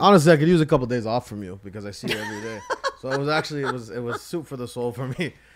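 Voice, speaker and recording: Over noticeable background noise, a medium-pitched man talks very fast with lively intonation and big swings in loudness. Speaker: podcast host. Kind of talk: casual podcast talk.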